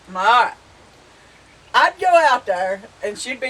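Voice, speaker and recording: A woman's high voice with a Southern US accent at a fairly quick pace, amid noticeable background noise. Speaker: homestead vlogger. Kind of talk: casual chat. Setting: outdoors on front porch. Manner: animated storytelling.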